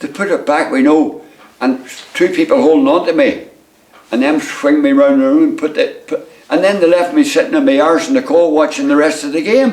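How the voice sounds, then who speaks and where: Pitch swings very widely in this voice with a Northern Irish accent, heard over noticeable background noise. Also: man. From Northern Ireland. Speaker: retired footballer, goalkeeper. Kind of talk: interview answer. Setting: at home.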